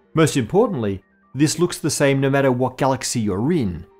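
With faint music behind him, the man talks at a moderate speed. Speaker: science show host. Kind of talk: educational explainer.

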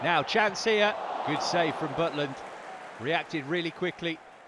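With crowd noise in the background, a man with a British accent speaks in an animated tone at a moderate pace and fairly high pitch. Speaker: match commentator. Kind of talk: live football commentary, voiced over highlights. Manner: animated, rising with excitement at goals.

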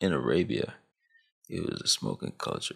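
The background is quiet, and the delivery keeps a moderate pace. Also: man. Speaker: YouTube commentator. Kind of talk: casual, street slang. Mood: earnest, reflective. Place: home room. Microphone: studio mic.

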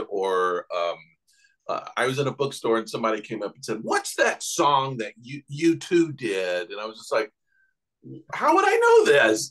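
A man speaks at a moderate pace with a Southern US accent against a quiet background. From Knoxville, Tennessee. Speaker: artist and podcaster. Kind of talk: interview answer. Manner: casual, conversational. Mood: amused, storytelling. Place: home room. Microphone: video call.

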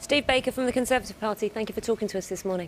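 The talking goes at a very fast pace with ordinary pitch variation. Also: woman, fairly high pitch for a woman.

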